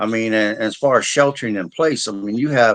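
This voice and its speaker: This man has a normal speaking voice with a medium pitch. He talks at a fairly quick pace with ordinary pitch variation. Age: 60s. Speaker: disaster preparedness specialist. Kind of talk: interview.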